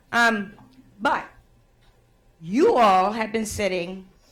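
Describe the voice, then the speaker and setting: Speaking at a very slow pace, a woman keeps her fairly high pitch at a fairly even intonation. Room echo is audible. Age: 60s. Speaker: conference facilitator and activist. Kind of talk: conference address to audience. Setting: conference room with audience.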